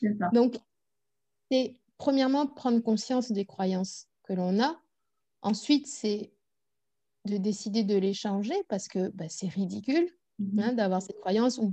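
A woman with a fairly high pitch speaks very slowly, leaving long, frequent pauses, with ordinary pitch variation. Her tone is dark and mellow, somewhat breathy, over a quiet background. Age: 30s. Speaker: personal development coach. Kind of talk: interview.

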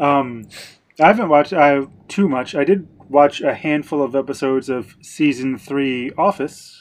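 A man speaks with an American accent at a moderate pace, his pitch fairly high. He has a plain, everyday voice with ordinary pitch variation. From United States. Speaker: podcast co-host. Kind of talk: casual chat.

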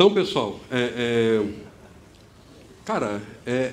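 Very wide pitch swings ring out with audible room echo. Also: man. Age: 30s. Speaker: youth ministry coordinator, preacher. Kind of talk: sermon. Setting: church auditorium with audience, streamed online.

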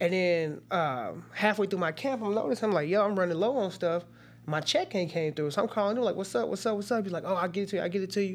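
Speaking at a very fast pace, a man with a high pitch and an American accent uses ordinary pitch variation. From Metro East St. Louis, Illinois (Cahokia / East St. Louis). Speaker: MMA fighter and high school wrestling coach. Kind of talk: casual interview.

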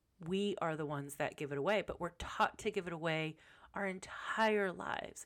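The speaker is a woman with a fairly low pitch. She keeps to a moderate pace. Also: ordinary pitch variation. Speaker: podcast host and life coach. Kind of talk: casual monologue. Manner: casual, off the cuff.

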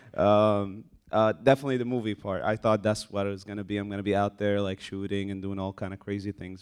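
This is a man speaking. His pitch sits fairly low. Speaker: army military intelligence soldier. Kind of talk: casual panel interview. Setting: live event with audience.

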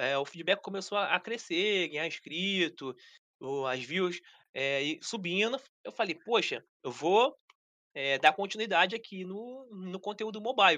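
Against a quiet background, the talking proceeds fairly slowly. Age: 30s. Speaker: mobile gaming content creator. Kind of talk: casual chat. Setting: live stream.

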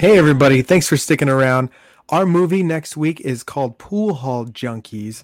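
Lively intonation marks this man's fairly high voice. He has an American accent and a moderate pace. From Southern California. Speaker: movie podcast co-host. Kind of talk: casual chat.

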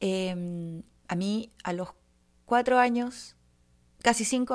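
With a Chilean accent, a woman talks in an animated tone at a medium pitch, her pitch varying in an ordinary way. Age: 30s. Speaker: podcaster. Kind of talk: casual monologue. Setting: home.

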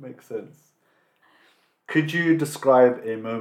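With a British accent, a man is speaking. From England. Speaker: podcast host. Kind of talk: interview.

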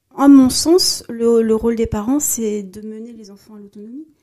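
Very slow pace and a dark, mellow tone, plus ordinary pitch variation. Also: woman. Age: 40s. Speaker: corporate social responsibility professional. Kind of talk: casual interview. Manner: hesitant, many fillers.

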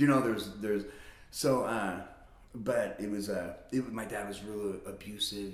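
A man with a fairly low pitch and an American accent at a moderate pace, with audible room echo. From Las Vegas, Nevada. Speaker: recovery advocate. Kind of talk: casual interview.

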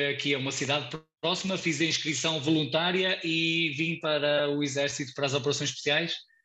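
The speech comes in a European Portuguese accent at a fairly slow pace. Its tone is bright and sharp. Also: man. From Portugal. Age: 30s. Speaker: ultramarathon runner. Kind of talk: casual interview.

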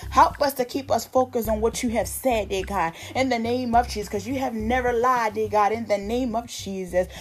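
Over music in the background, a woman with a fairly high pitch and a warm tone speaks with hardly any pauses and ordinary pitch variation. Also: fairly quick pace. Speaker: minister leading prayer. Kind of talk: fervent evening prayer, with repeated pleas to God. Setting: online video for a social media group. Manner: earnest, pleading, repetitive rhythm; casual, warm, encouraging.

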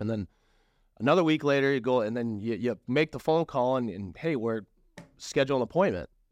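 A man with an unremarkable speaking voice talks at a fairly quick pace, his medium pitch rising and falling in lively intonation over a quiet background. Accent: American. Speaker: real estate agent and landlord. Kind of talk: casual interview chat.

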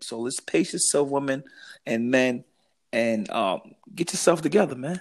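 In a very clean recording with a silent background, a man speaks at a moderate pace, his medium pitch carried by lively intonation. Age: 40s. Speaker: podcast co-host. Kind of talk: casual chat. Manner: animated.

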